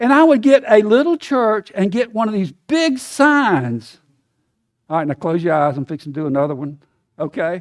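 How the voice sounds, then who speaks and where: A man with an American accent and very wide pitch swings, in a dry, close sound with no echo. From US South. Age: 70s. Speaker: guest preacher. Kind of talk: sermon. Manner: conversational, folksy.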